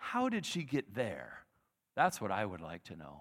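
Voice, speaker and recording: Vocal fry marks the fairly slow speech on a very clean recording with a silent background. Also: man. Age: 50s. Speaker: guest preacher. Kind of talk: sermon. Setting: church. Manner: conversational.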